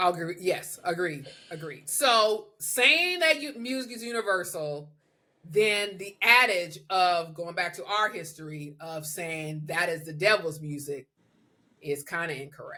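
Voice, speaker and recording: This woman has an ordinary speaking voice, pitched fairly low, with lively intonation and big swings in loudness. She speaks at a fairly slow pace. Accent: American. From Southern US. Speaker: podcast host. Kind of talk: podcast conversation.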